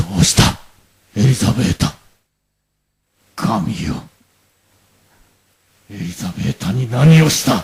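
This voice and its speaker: A man uses a put-on character voice at a medium pitch, moving at a fairly slow pace. Long pauses come often. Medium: audio drama. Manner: proud, forceful.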